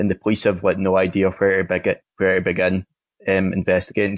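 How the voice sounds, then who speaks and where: In a Scottish accent, a man talks in a fairly low pitch with monotone, flat intonation. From Scotland. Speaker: film critic. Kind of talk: film review.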